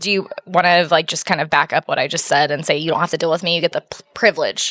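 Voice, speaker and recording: At a very fast pace, a woman talks with a fairly low pitch and fairly even intonation. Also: dry, close sound with no echo. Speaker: podcast co-host. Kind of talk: casual chat. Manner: monotone.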